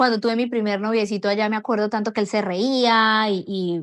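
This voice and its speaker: A woman's ordinary speaking voice, medium in pitch with fairly even intonation, at a fairly quick pace over a quiet background. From Colombia. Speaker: foreigner sharing experiences of Brazil. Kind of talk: personal testimony.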